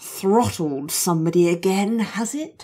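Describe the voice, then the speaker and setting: In a put-on character voice, a woman talks at a fairly slow pace with a medium pitch. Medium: read story. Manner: haughty, imperious.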